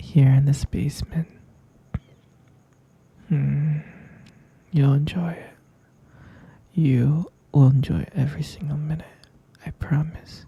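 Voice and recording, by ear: Using a put-on character voice, a man speaks slowly in a fairly high pitch with fairly even intonation, a husky, rough edge, vocal fry, and long, frequent pauses.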